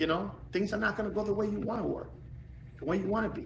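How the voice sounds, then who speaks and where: A man's very fast speech with audible room echo. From Puerto Rico. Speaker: former pro baseball player and coach. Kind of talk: podcast interview. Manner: animated.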